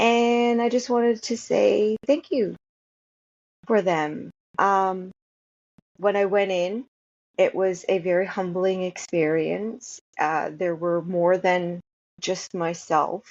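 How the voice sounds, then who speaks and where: A woman at medium pitch with a Canadian accent, very slow pace and long, frequent pauses. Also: ordinary pitch variation. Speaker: vlogger. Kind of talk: casual personal vlog. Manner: hesitant, many fillers.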